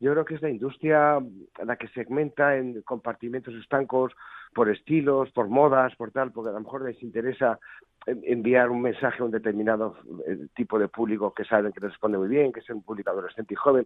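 This plain, everyday voice moves at a fairly quick pace with fairly even intonation and big swings in loudness. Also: man, medium pitch for a man. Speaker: rock musician. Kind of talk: interview.

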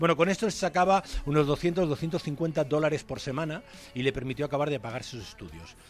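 An unremarkable speaking voice from a man, pitched fairly high and moving at a fairly quick pace. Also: ordinary pitch variation, big swings in loudness. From Galicia, Spain. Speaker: basketball commentator. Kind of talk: casual chat.

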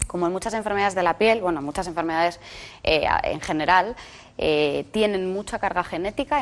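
An unremarkable speaking voice talks at a fairly quick pace. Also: woman. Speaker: dermatologist. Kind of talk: expert interview.

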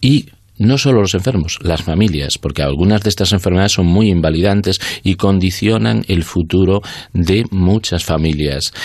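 The man's pitch is very deep and low, with lively intonation. He keeps a moderate pace and very even loudness. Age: 50s. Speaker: oncology doctor and researcher. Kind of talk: radio interview. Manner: halting, many fillers.

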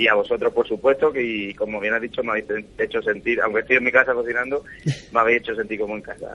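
In an Andalusian accent, a man speaks very fast at a medium pitch with a bright, sharp tone. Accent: Andalusian (Cádiz). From Cádiz, Andalusia, Spain. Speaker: chef. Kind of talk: radio interview. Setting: phone call from his home kitchen.

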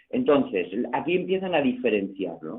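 Very wide pitch swings at a moderate pace. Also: man. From Barcelona. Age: 60s. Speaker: karate coach. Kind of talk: radio interview.

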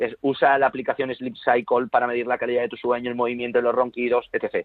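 At a fairly quick pace, a man talks in a normal speaking voice at medium pitch. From Spain. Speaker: productivity author and consultant. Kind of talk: interview.

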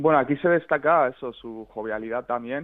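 At a moderate pace, a man with a medium pitch and fairly even intonation speaks in a plain, everyday voice. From Basque Country, Spain (San Sebastián). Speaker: journalist. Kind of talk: radio interview.

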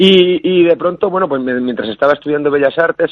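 The man's delivery is fairly quick, with ordinary pitch variation. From Basque Country, Gipuzkoa. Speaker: actor. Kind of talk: radio interview. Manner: halting.

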